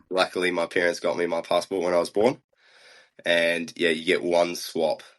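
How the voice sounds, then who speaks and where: A man's very deep, low voice in a New Zealand accent, monotone and flat, at a moderate pace. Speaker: biathlete. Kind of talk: interview.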